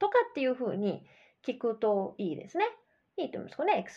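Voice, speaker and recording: A woman's voice with very wide pitch swings at a fairly quick pace. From Japan. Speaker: English coach podcast host. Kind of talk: educational podcast monologue. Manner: casual, chatty with many fillers.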